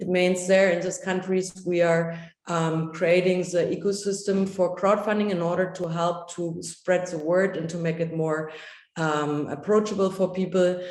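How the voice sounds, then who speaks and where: Audible room echo surrounds a woman speaking in a monotone, flat intonation. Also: medium pitch for a woman. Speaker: workshop trainer. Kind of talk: workshop presentation. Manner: fast.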